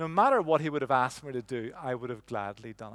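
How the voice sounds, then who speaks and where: A man speaks at a very fast pace. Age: 50s. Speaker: preacher. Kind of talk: sermon. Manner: halting.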